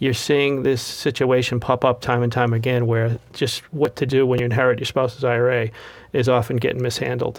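A man speaks in a Boston accent. He moves at a fairly quick pace with fairly even intonation. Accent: Boston-area New England. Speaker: financial advisor. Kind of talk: casual interview chat.

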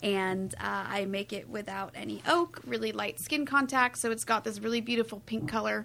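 Speaking with a General American accent, a woman leaves hardly any pauses, her tone bright and sharp. Her pitch is medium and her intonation lively. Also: moderate pace. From California. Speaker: winemaker. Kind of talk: casual chat.

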